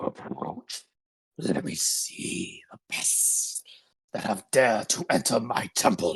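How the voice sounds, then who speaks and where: In a raspy, put-on character voice, a man speaks at a fairly slow pace with medium pitch and big swings in loudness. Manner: commanding, menacing.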